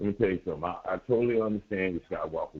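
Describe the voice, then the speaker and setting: This man talks with a fairly low pitch. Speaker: caller.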